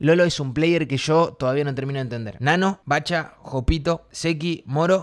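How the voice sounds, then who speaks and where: A man with a Rioplatense accent, animated in tone, at a moderate pace with ordinary pitch variation, over a quiet background. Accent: Argentine Rioplatense Spanish. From Argentina. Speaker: streamer. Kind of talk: casual chat. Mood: joking, playful. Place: home room. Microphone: studio mic.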